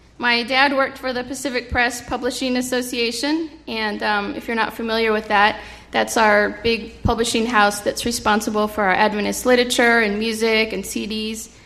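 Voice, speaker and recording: In a room with audible echo and noticeable background noise, a woman speaks at a fairly high pitch with fairly even intonation. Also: moderate pace. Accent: American. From California. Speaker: children's ministry leader and occupational therapist. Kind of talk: sermon. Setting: church. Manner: halting.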